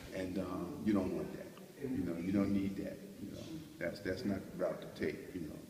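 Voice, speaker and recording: Speaking with an American accent, a man has a fairly low pitch, a moderate pace and ordinary pitch variation. Noticeable background noise and audible room echo surround him. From New York City (Brooklyn). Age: 60s. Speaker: older mentor giving advice to young people. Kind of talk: recorded advice message to youth. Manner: conversational, many filler words.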